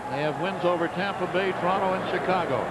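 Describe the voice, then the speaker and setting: A man with a high pitch talks while noticeable background noise is heard. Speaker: radio play-by-play announcer. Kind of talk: live sports play-by-play commentary.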